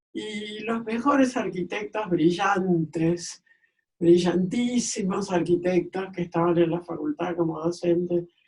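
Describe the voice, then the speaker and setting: The speaker talks at a very slow pace. Pitch variation is ordinary. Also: woman. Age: 80s+. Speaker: architect and archivist. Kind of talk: interview answer.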